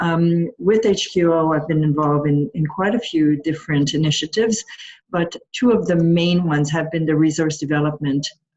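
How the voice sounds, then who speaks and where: A somewhat breathy woman with a very deep, low pitch and a Quebec accent, at a moderate pace. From Quebec, Montreal. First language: French. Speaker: patient partner advisor. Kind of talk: panel introduction.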